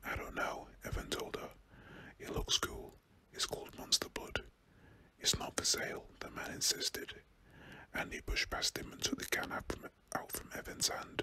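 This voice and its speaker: Whispering in a British accent, a man speaks at a moderate pace with long, frequent pauses over noticeable background noise. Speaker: ASMR reader. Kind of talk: bedtime story reading aloud, ASMR narration.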